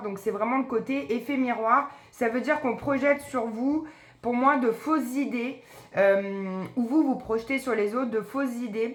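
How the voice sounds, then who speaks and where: A woman uses a plain, everyday voice at a fairly high pitch. She keeps a moderate pace with ordinary pitch variation. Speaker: psychic medium doing card readings. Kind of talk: tarot card reading video.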